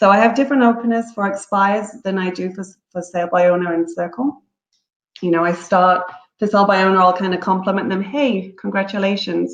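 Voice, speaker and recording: Speaking fairly quickly with an English accent, a woman at medium pitch keeps her intonation fairly even. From England. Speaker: real estate broker. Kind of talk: webinar presentation. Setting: online webinar.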